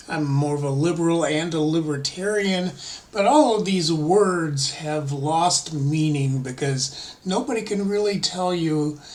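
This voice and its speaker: Over noticeable background noise and audible room echo, a man speaks at a fairly slow pace in a high pitch with ordinary pitch variation. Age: 60s. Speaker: political vlogger. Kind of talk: casual monologue. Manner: halting.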